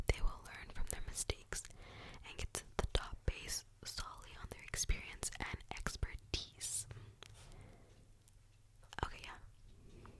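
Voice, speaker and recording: A woman whispers slowly, at a fairly slow pace, pausing long and often as her volume rises and falls sharply against noticeable background noise. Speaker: ASMR creator. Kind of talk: ASMR whisper talk about zodiac signs. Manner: whispered, soft.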